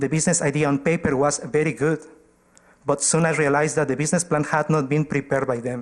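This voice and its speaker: With a non-native accent, a man delivers a very fast, fairly high-pitched flow in a monotone, flat intonation at very even loudness. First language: not English. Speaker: community organization presenter to council. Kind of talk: formal presentation at council meeting.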